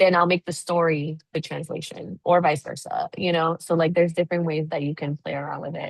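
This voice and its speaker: A woman speaks with an ordinary speaking voice and fairly even intonation. The sound is dry and close, with no echo. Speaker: nonprofit consultant. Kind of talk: webinar presentation Q&A. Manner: casual, filler-heavy.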